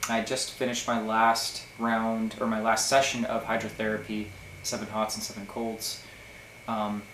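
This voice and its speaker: A man with a medium-pitched voice is heard amid noticeable background noise and audible room echo. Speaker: health vlogger documenting a cleanse program. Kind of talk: casual video diary. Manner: hesitant, many filler words.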